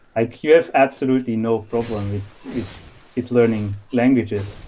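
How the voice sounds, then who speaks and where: With a Dutch accent, a man speaks at a moderate pace in a dark, mellow tone. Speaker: podcast guest, discord moderator. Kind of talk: casual conversation.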